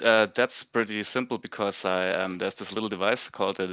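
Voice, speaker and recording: With a non-native accent, a man talks in a very deep, low pitch that shows ordinary variation. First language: not English. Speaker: contest winner, hobbyist maker. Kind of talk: livestream interview. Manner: halting, many fillers.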